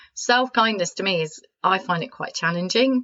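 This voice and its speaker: This woman speaks in a British accent with lively intonation. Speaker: podcast host and coach. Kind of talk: self-help podcast talk. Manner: soft-spoken, calm.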